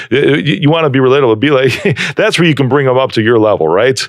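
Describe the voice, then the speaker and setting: This man has a normal speaking voice at a medium pitch. His intonation is lively. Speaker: podcast host. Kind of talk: podcast host talk. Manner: casual, upbeat, conversational.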